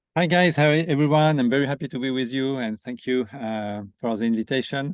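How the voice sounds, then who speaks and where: A man at a moderate pace with lively intonation against a quiet background. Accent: French. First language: French. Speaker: company founder and CEO. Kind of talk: webinar presentation.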